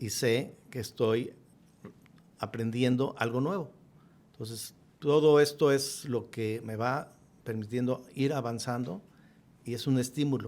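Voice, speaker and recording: A man talks at a medium pitch. He leaves long, frequent pauses. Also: ordinary pitch variation, fairly slow pace. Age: 60s. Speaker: businessman. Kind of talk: podcast interview.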